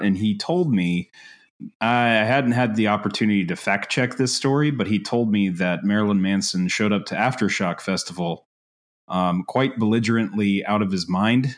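A man in an ordinary speaking voice, fairly low in pitch, speaks with ordinary pitch variation and very even loudness against a quiet background. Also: moderate pace. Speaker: podcast co-host. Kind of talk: casual podcast chat.

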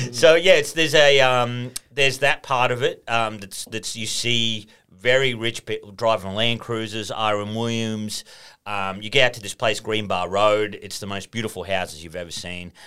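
With an Australian accent, this bright, sharp voice moves at a moderate pace with ordinary pitch variation and big swings in loudness, on a very clean recording with a silent background. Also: man, medium pitch for a man. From rural northern New South Wales, near Queensland border. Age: 30s. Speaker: podcast guest. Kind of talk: casual chat.

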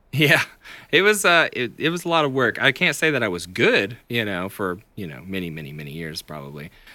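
With a Tennessee accent, a man speaks fairly quickly in a fairly low voice with a bright, sharp tone and vocal fry. His pitch swings very widely, his loudness shifts a lot, and the recording is very clean with a silent background. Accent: US South, Tennessee. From Tennessee, Chattanooga. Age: 30s. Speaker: singer-songwriter. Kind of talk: casual interview chat. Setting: music practice space.

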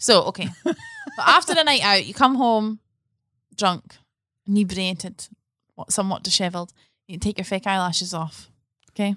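A woman with a Scottish accent speaks in a bright, sharp tone with ordinary pitch variation, long, frequent pauses and big swings in loudness. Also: medium pitch for a woman, moderate pace, dry, close sound with no echo. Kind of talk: casual chat. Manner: animated.

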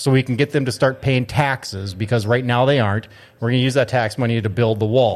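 An ordinary speaking voice, a man at a medium pitch talks at a fairly quick pace with fairly even intonation and very even loudness, on a very clean recording with a silent background. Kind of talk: casual chat.

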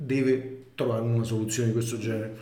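A man speaks very fast at a medium pitch, with fairly even intonation and audible room echo. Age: 60s. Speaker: former finance executive of infrastructure company. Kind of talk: interview. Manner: halting.

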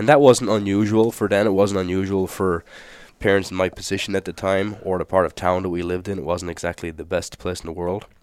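Over a very clean recording with a silent background, a man with an Irish accent talks very fast in a very deep, low voice with fairly even intonation. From Ireland. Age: 30s. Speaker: firefighter. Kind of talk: casual chat.

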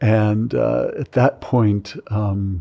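Against a quiet background, a man with a dark, mellow tone and fairly low pitch talks in an American accent. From California. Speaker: psychology professor. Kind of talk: interview. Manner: halting.

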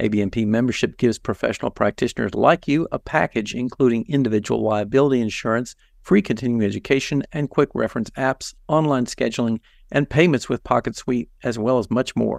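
With an unremarkable speaking voice, a man of medium pitch talks at a fairly quick pace and ordinary pitch variation. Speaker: massage therapy educator. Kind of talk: casual expert conversation.

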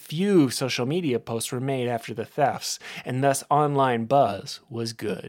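Pitch shifts in an ordinary way. The delivery is plain reading aloud.

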